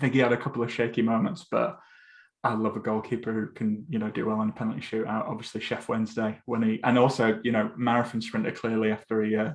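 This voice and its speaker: A man with a northern English accent speaks very fast at a medium pitch. His intonation is monotone and flat. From Essex, England. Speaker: football podcast host. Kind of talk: casual podcast chat.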